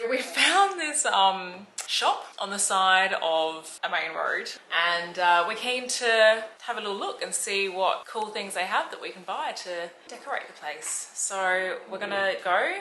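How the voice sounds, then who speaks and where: There is noticeable background noise and audible room echo as a woman with an Australian accent talks at a fairly slow pace. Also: medium pitch for a woman, ordinary pitch variation. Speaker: travel vlogger. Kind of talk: casual vlog chat. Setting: outdoors, at a bar.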